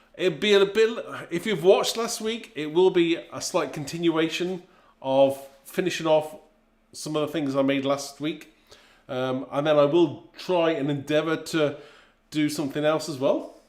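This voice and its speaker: A man with an English accent speaks at a moderate pace. His pitch is fairly high, with ordinary pitch variation. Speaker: craft demonstrator. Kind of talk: live stream chat. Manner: casual, hesitant.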